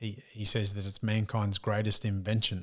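A man talks with a strong Australian accent at a fairly low pitch. The recording is very clean, with a silent background. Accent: broad Australian. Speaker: business strategist and speaker. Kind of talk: casual interview conversation.

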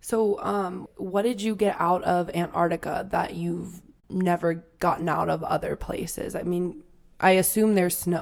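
Fairly low in pitch, a woman speaks in a plain, everyday voice. Her pace is fairly slow and her intonation fairly even. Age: 20s. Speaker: travel podcast co-host. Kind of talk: casual chat.

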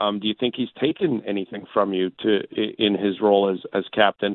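A man with an unremarkable speaking voice and a Canadian accent, fairly low in pitch, with fairly even intonation at a fairly quick pace. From Southern Alberta, Canada. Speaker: hockey broadcaster. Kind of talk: sports radio interview.

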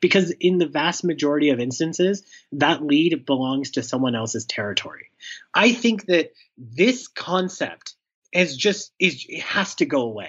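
A man speaks in a fairly high pitch. His pitch swings very widely. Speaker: startup founder and sales leader. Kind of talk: interview. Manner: fast talker; animated, hops between topics.

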